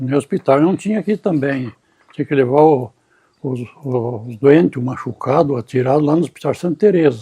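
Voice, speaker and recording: At a moderate pace, a man speaks with a dark, mellow tone and a somewhat breathy quality. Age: 80s+. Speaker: elderly former local councillor. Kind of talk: interview. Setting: at home. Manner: halting, repeating words.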